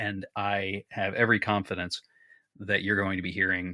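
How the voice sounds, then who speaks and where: A man with an American accent, a bright, sharp tone and a fairly low pitch at a moderate pace, in a dry, close, very clean recording with no echo and a silent background. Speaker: podcast creator and voice actor. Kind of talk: casual interview chat.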